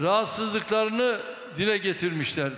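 A man's raised, projected voice amid audible room echo. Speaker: politician giving a speech. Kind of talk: political speech. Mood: combative toward opposition.

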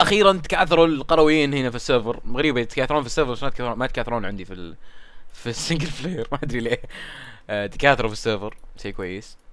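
Talking at a very fast pace, a man at medium pitch uses lively intonation. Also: big swings in loudness. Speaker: gaming YouTuber. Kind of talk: gameplay commentary. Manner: casual, chatty.

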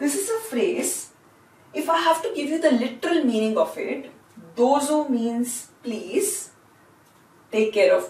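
A woman with an Indian accent and a high pitch, very wide pitch swings, long, frequent pauses and audible room echo. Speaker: language teacher. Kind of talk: lecture. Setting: classroom. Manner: slow. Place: classroom. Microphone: camera far.

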